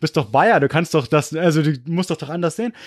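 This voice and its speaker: Very clean and silent in the background, the recording features a man with a fairly high pitch. He talks at a fairly quick pace. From US/Munich, Germany (moved between both). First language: English (speaking German). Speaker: history podcaster. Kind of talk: casual chat.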